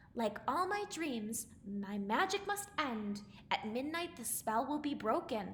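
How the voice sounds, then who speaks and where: Putting on a character voice, a woman speaks at a high pitch with very wide pitch swings over clear background noise. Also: fairly slow pace. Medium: read story. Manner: warm, fussing.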